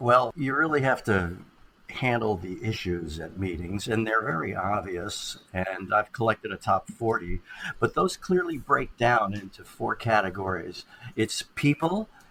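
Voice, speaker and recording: This man has an unremarkable speaking voice with lively intonation. He talks at a fairly slow pace. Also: medium pitch for a man. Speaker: communication expert, keynote speaker. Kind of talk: podcast interview answer.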